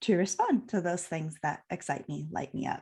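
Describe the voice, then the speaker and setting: Against a quiet background, an ordinary speaking voice goes at a fairly quick pace with ordinary pitch variation. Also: woman. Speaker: podcast host. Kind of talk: interview. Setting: live video stream.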